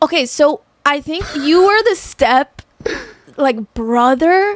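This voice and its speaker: This woman talks at a very slow pace with a high pitch. Her intonation is lively, in a Miami accent. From Miami, Florida. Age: 20s. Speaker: dancer. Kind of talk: casual chat.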